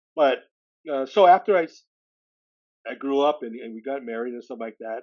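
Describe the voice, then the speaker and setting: With a Californian accent, a man speaks at a fairly quick pace and fairly high pitch, with lively intonation. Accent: Californian American English. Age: 60s. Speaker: adoptee and recovery advocate. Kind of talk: interview testimony. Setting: podcast interview. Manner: halting, many fillers and restarts.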